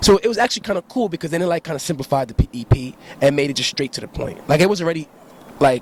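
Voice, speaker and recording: A man talks very fast at a fairly high pitch, the sound dry and close with no echo but with noticeable background noise. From New York City (Harlem, Brooklyn, Bronx). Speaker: rapper. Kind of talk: casual interview. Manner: laid-back, halting with fillers.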